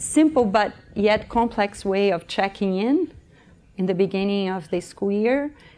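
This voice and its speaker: In a Brazilian accent, a woman speaks with a dark, mellow tone and ordinary pitch variation. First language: Portuguese. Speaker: early childhood education coach. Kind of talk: conference workshop presentation. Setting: conference room with audience. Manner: animated.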